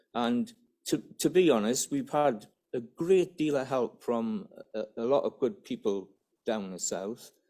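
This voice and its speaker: A man speaks with a Geordie accent at a medium pitch. His fairly slow delivery has lively intonation and a dark, mellow tone. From northern England, Newcastle area. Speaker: business development officer. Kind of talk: conference presentation. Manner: halting.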